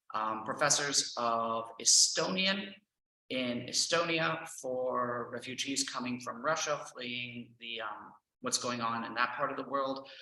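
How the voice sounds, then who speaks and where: With an American accent, this man speaks at a fairly slow pace and medium pitch, with ordinary pitch variation and audible room echo. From Texas, Houston. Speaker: language teacher and trainer. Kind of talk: presentation.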